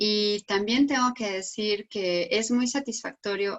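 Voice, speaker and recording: With fairly even intonation, a woman delivers her words at a fairly slow pace. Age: 60s. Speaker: psychologist and researcher. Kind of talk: panel discussion. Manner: halting.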